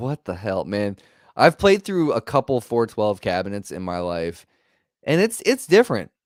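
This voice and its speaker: An animated man at medium pitch speaks at a moderate pace, with very wide pitch swings and big swings in loudness. The sound is dry and close with no echo, and the recording is very clean against a silent background. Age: 40s. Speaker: podcast host and guitarist. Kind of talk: casual interview chat.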